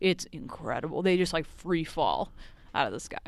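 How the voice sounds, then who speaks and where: A woman talks at a moderate pace with a fairly low pitch, in a plain, everyday voice. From Massachusetts, north of Boston (Haverhill). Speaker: park ranger. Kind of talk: casual interview chat. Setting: outdoors at a lake park.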